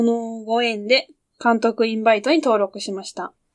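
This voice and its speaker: A woman's high voice at a fairly slow pace, dry and close with no echo. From Japan, Yamanashi. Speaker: podcast co-host. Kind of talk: casual chat.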